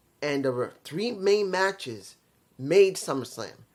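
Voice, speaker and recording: Against music in the background, a man speaks with very wide pitch swings. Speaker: wrestling video reviewer. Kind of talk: casual review monologue. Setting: at home, neighbors nearby. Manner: quiet, holding back volume.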